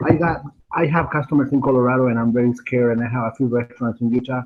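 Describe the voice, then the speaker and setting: Speaking with a Spanish accent, a man moves at a fairly quick pace with a medium pitch and fairly even intonation. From Argentina. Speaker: web designer. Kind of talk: audience question. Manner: halting.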